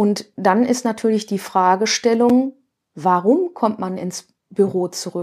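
A woman speaks at a fairly high pitch with ordinary pitch variation. Her pace is very slow. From Ruhr area, Germany (Duisburg). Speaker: interior architect, workplace consultant. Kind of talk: interview.

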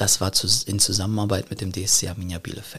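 Vocal fry runs through a man's fairly low-pitched voice as he talks at a moderate pace. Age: 20s. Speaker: business consultant. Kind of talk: interview. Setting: podcast studio.

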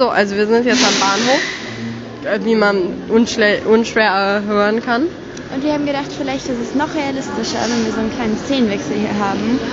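With music in the background and audible room echo, a woman speaks at a moderate pace in a fairly high voice with ordinary pitch variation. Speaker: podcast co-host. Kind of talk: casual chat. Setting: train station.

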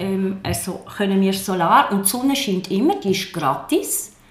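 Audible room echo and noticeable background noise surround the recording. A woman speaks fairly slowly at a medium pitch with ordinary pitch variation. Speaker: politician. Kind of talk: political debate. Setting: office.

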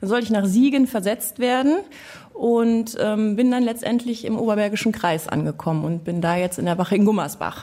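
Pitched fairly high, a woman's dark, mellow voice moves at a moderate pace with ordinary pitch variation. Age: 40s. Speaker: police officer, podcast co-host. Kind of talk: casual chat.

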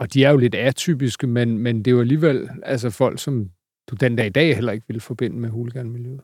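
An unremarkable speaking voice from a man, medium in pitch and fairly even in intonation, at a fairly quick pace in a very clean recording with a silent background. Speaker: journalist and podcast host. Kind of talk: scripted narration. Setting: studio.

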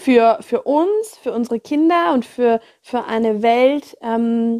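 Heard dry and close with no echo, a woman speaks very slowly in a dark, mellow, fairly high-pitched voice with ordinary pitch variation. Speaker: podcast host, educator and coach. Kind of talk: guided meditation. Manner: slow, calm, soothing, gentle; soft-spoken, hushed, measured pauses.

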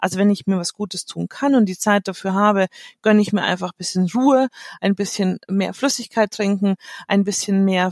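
Moderately paced talk in an ordinary speaking voice, recorded very cleanly against a silent background. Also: woman. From Munich, Germany. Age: 40s. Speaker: make-up artist and coach. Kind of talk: interview.

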